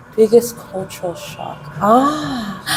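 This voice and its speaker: Music plays in the background as a woman with an American accent speaks at a very slow pace. Her fairly high voice has lively intonation. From US West Coast, Los Angeles. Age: 30s. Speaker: English teacher. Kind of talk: interview. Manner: trying to keep voice down.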